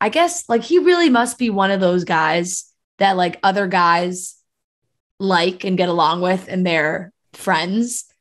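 A woman with a normal speaking voice and a medium pitch talks at a fairly slow pace against a quiet background. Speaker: podcast host. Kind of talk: casual chat.

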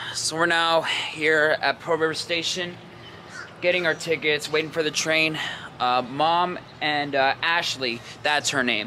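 A man speaks at a fairly slow pace in a normal speaking voice, fairly high in pitch with fairly even intonation. His loudness stays very even, with light background noise behind him. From New York area (Rockland County). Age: 20s. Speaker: vlogger. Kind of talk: casual vlog narration. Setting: outdoors and around the city while filming. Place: station. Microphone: phone near.

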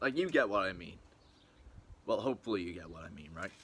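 The man's voice is fairly low in pitch with a bright, sharp tone. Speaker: vlogger. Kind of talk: casual vlog chat. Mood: relaxed and excited. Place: garden. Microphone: phone near.

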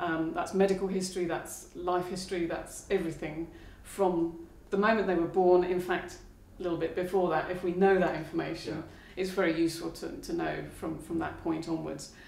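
In a flat monotone, a woman talks at a moderate pace in a fairly low pitch, with audible room echo. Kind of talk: interview answer. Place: studio.

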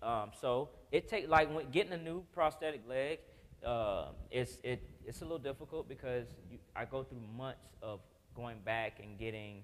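A man talks in an animated tone with big swings in loudness. His pitch variation is ordinary, over light background noise. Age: 40s. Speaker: Paralympic athlete and motivational speaker; motivational speaker. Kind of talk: testimony. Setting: stage with audience. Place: church.

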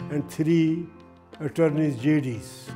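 A man's fairly high voice with fairly even intonation, over clear music in the background. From Punjab, India. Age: 80s+. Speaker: immigrant grandfather. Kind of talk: interview answer, personal life reflection. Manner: hesitant, many fillers. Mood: proud, reflective. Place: home room. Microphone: lapel.

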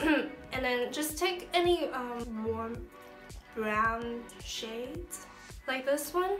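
Lively intonation broken by long, frequent pauses, with clear music in the background. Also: woman. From China. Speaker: beauty vlogger. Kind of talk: casual makeup tutorial talk to camera. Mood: relaxed, light-hearted. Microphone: phone near.

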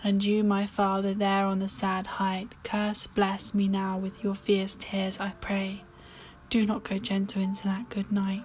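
A woman speaks fairly slowly at a medium pitch, in a calm, soothing tone. Her voice is somewhat breathy, with monotone, flat intonation. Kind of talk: poetry reading.

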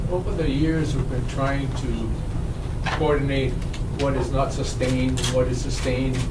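Loud background noise runs under a man speaking at a moderate pace. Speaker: commission chair. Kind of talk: formal public meeting. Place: meeting room.

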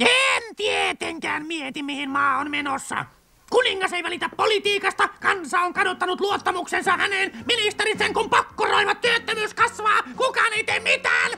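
A cartoonish character voice at an extremely high pitch. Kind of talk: cartoon dub acting. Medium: fan dub. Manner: pushy, ranting, self-important.

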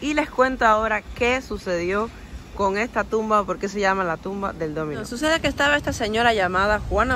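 A woman speaks at a fairly quick pace with a medium pitch and an unremarkable speaking voice. The sound is dry with no echo, over light background noise. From Cuba. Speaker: YouTube vlogger; travel vlogger. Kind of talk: walking tour vlog. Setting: outdoors. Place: open country. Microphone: phone near.

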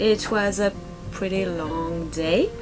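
A woman speaks. Clear music plays in the background. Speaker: sailing vlogger. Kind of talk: casual vlog chat. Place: boat. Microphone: camera far.

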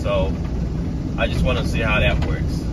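The speech moves at a moderate pace against loud background noise. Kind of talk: casual vlog chat. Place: car. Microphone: phone near.

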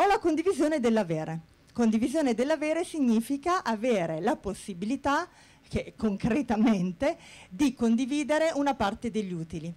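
A woman's high-pitched voice with very wide pitch swings at a moderate pace. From Bari, southern Italy; Italy. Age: 40s. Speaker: HR manager. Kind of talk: conference talk. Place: hall. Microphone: handheld.

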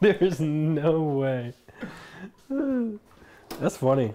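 A man talks while noticeable background noise runs underneath. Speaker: stream host. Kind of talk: casual stream banter. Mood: joking, laughing. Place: kitchen.

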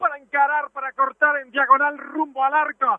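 Background sound is quiet. Intonation stays flat and monotone throughout. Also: man, dry sound with no echo. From Uruguay. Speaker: football commentator. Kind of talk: live commentary. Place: stadium.

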